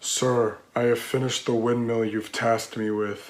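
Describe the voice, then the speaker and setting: Using a put-on character voice, a man speaks at a moderate pace with medium pitch and monotone, flat intonation. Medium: stage play. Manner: earnest, solemn.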